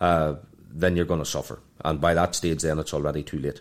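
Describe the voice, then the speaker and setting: A man with an Irish accent is heard on a very clean recording with a silent background. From Ireland. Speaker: financial planner. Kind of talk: interview. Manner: halting, with frequent repetitions.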